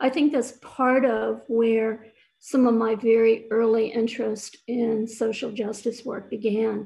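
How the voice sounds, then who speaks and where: A woman's fairly high, monotone voice with flat intonation and a dark, mellow tone, fairly slow in pace, over a quiet background. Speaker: event speaker sharing personal history. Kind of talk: personal testimony. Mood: calm, reflective. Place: home room. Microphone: webcam.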